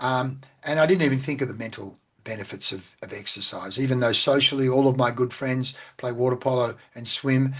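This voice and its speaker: Medium pitch and ordinary pitch variation from a man with an Australian accent, at a moderate pace. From Australia (central Victoria). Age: 60s. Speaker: sales and business coach. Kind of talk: interview.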